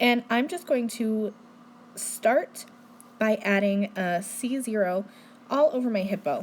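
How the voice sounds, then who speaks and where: At a very slow pace, a woman speaks with long, frequent pauses and a somewhat breathy voice. Her pitch is fairly high, with ordinary variation. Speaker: card-making demonstrator. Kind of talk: tutorial.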